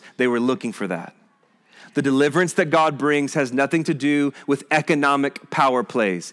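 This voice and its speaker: Here a man speaks with an American accent and an ordinary speaking voice, at medium pitch and a moderate pace. His pitch varies in an ordinary way, and the recording is very clean with a silent background. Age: 40s. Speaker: pastor. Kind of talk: sermon.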